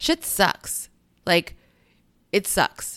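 On a very clean recording with a silent background, a woman sounds animated, her tone bright and sharp. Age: 30s. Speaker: podcast host. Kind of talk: casual solo podcast monologue.

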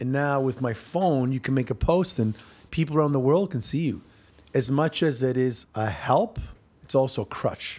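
Recorded very cleanly against a silent background, a man with an unremarkable speaking voice talks at a moderate pace and medium pitch with ordinary pitch variation. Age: 40s. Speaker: fitness trainer and former bodybuilder. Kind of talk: casual chat. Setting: office studio.

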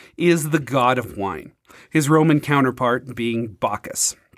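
A man with a plain, everyday voice talks at a fairly slow pace, his pitch fairly high. His intonation is lively, and the recording is very clean with a silent background. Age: 30s. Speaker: podcast host, spoken word poet. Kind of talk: scripted narration; casual chat.

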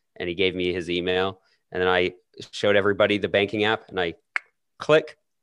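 A man with a Canadian accent speaks in a very deep, low voice at a fairly quick pace, broken by long, frequent pauses. His pitch variation is ordinary, and the background is quiet. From Canada. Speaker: podcaster guest. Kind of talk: casual chat.

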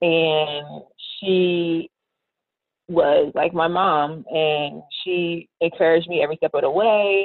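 Very slow speech from a woman, fairly low in pitch, with fairly even intonation. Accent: American. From US, Baltimore, Maryland. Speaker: engineering PhD student. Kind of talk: interview.

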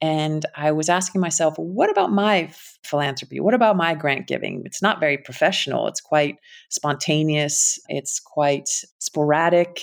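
With a Connecticut accent, a woman speaks at a moderate pace in a very deep, low pitch. The recording is very clean, with a silent background. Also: ordinary pitch variation. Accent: Connecticut American. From US Connecticut. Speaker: impact investing founder. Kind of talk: casual interview conversation.

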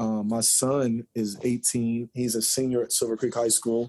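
A man with an American accent speaks at a medium pitch in a dark, mellow tone. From southern Indiana, Jeffersonville. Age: 40s. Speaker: former college basketball player, basketball trainer. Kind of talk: casual interview.

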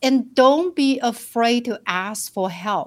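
The speaker is a woman with a Chinese accent. Her pace is very slow. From China, rural southern village. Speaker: financial planner. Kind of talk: interview.

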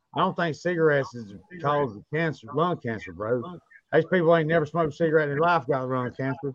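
Speaking with a Southern US accent, a man talks at a very fast pace. His pitch is fairly high, with ordinary variation. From North Carolina. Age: 40s. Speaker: podcast host, moonshiner. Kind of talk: casual chat.

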